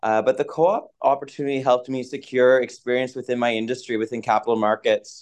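Over a quiet background, a man at a medium pitch talks at a very fast pace with hardly any pauses and fairly even intonation. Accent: Maritime Canadian. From Atlantic Canada, Moncton, New Brunswick. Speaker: finance professional. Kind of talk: interview.

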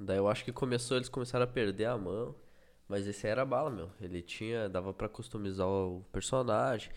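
A man talks fairly quickly in a normal speaking voice. His pitch varies in an ordinary way. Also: fairly low pitch for a man. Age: 30s. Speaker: podcast co-host. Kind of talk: casual chat.

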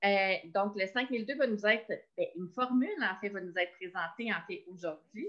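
Medium-pitched woman at a moderate pace, with ordinary pitch variation. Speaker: education community coordinator. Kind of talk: online professional meeting. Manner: halting, many repetitions.

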